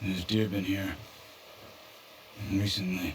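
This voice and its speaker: In a raspy, put-on character voice, the speaker delivers flat, monotone lines at a moderate pace over clear background noise. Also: man, very deep, low pitch for a man. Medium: video game. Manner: calm, measured.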